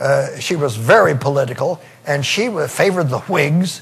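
This voice belongs to a man. He talks fairly slowly. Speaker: historian giving a live museum talk. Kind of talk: historical monologue. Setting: live museum exhibit. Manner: casual, conversational storytelling. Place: stage. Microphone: lapel.

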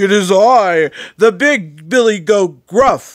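A put-on character voice from a man, high-pitched and very slow. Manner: gruff.

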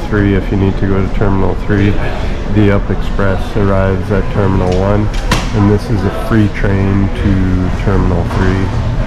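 A fairly slow pace over loud background noise. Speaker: travel vlogger. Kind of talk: casual vlog chat. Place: station. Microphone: phone near.

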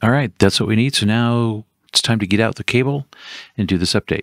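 Pitch varies in an ordinary way as the words come at a fairly quick pace. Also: man, fairly low pitch for a man.

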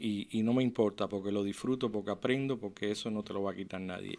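In a Cuban accent, a man speaks fairly quickly in a fairly low voice with fairly even intonation. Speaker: physician; interview guest. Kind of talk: interview testimony. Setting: radio studio. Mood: warm, earnest. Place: studio. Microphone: studio mic.

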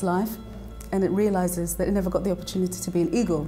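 A woman with a London accent speaks at a fairly low pitch, with faint music in the background. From London, raised in Nigeria-born diaspora. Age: young. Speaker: singer-songwriter and composer. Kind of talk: interview answer. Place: studio. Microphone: lapel.

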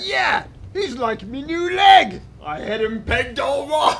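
A man's put-on character voice at an extremely high pitch and fairly slow pace, with clear background noise. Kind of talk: comic pirate overacting. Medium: stage play.

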